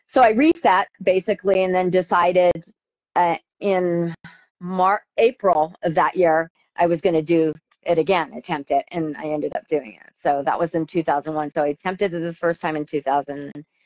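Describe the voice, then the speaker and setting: Big swings in loudness and ordinary pitch variation in an ordinary speaking voice at a moderate pace. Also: woman, fairly low pitch for a woman. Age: 50s. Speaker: ultrarunner. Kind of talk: interview.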